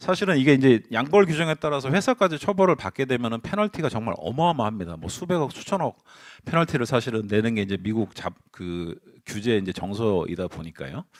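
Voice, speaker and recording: The speech moves at a fairly quick pace with very wide pitch swings. The sound is dry and close with no echo, on a very clean recording with a silent background. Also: man, medium pitch for a man. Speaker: conference speaker on governance and internal control. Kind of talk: conference presentation. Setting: seminar hall with audience. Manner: speeding up under time pressure; hesitant fillers, self-corrections.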